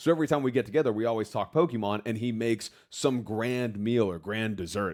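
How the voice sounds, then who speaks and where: This is an unremarkable speaking voice from a man with an American accent. His pitch is medium with ordinary pitch variation. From United States. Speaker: podcast co-host. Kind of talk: casual chat.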